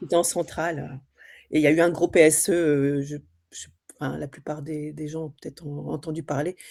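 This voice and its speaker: This woman speaks in a monotone with a dark, mellow tone and a very deep, low pitch, captured in a very clean recording with no background sound. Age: 20s. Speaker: trainee real estate agent. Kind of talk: group introduction in training session.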